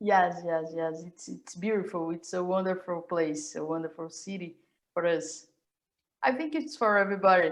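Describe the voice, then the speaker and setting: Her pitch is fairly low for a woman, with ordinary variation. She speaks at a moderate pace, and her loudness swings a lot. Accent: Brazilian Portuguese. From Brazil, Rio de Janeiro. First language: Portuguese. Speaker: professor. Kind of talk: casual chat. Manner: halting.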